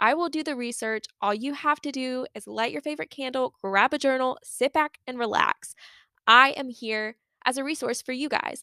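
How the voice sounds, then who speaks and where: A woman projects a raised, high-pitched voice with a bright, sharp tone at a moderate pace. The sound is dry and close with no echo, and her pitch varies in an ordinary way. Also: very clean recording, silent background. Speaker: podcast host. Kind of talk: casual solo monologue.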